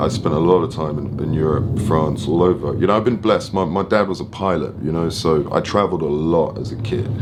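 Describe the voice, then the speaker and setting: With an English accent, a man talks at a fairly quick pace with hardly any pauses and ordinary pitch variation, with audible room echo and noticeable background noise. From London, England. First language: French. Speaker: film and photo producer. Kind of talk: interview. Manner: casual.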